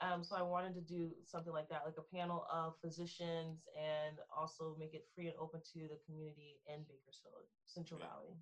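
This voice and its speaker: Monotone, flat intonation in an American accent, with a fairly quick pace, hardly any pauses and a somewhat breathy sound. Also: woman, fairly low pitch for a woman. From Texas, Frisco. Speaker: philosophy student. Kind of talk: interview.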